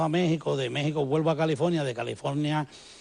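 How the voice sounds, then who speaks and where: With a Puerto Rican accent, this man has a fairly high pitch, a dark, mellow tone and ordinary pitch variation. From Puerto Rico. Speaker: musician, former church member. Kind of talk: TV interview testimony.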